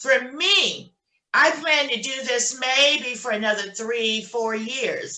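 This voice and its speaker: In a raised, projected voice, a woman speaks at a very slow pace with a high pitch. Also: ordinary pitch variation. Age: 60s. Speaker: notary signing agent. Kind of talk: casual chat.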